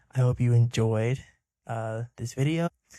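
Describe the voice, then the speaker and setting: A man speaks quietly at medium pitch with a dark, mellow tone. His intonation is fairly even, and the sound is dry and close with no echo. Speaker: YouTuber reviewing films. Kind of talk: casual vlog monologue. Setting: home recording at night.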